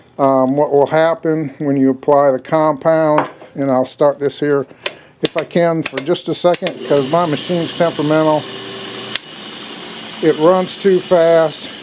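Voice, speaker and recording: A man's fairly slow, flat, monotone speech at a fairly high pitch, broken by long, frequent pauses, with noticeable background noise. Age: 60s. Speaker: knife maker. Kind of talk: tutorial. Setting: workshop. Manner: halting, repeats words.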